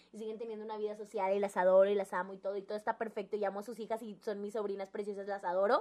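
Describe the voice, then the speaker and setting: A woman with a Mexican accent and fairly high pitch speaks at a very fast pace. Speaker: podcast co-host. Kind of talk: casual chat.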